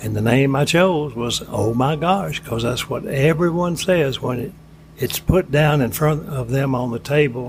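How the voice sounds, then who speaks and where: A man with an Alabama accent talks at a fairly slow pace and a fairly high pitch. Noticeable background noise is present. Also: ordinary pitch variation. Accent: Southern US (Alabama). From US South, Florence, Alabama. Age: 80s+. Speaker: ice cream shop owner. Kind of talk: casual interview.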